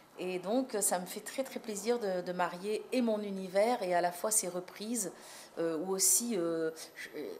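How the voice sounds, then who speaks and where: A woman speaks at a fairly slow pace, her pitch medium with ordinary variation. Noticeable background noise sits behind her. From France, North African heritage. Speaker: singer. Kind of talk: interview. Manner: hesitant, many repetitions and fillers.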